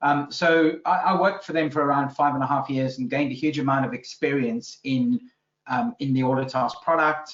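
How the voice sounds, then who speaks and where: Speaking with a South African accent, a man moves at a fairly quick pace, his pitch fairly high with ordinary variation. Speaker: business consultant. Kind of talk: interview podcast. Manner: hesitant, many fillers.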